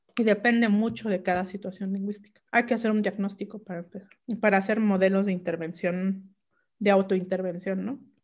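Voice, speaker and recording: A woman with a medium pitch talks fairly quickly, her pitch varying in an ordinary way. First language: Mixe (speaking Spanish). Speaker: linguist and writer. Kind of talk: interview. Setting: video call. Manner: halting.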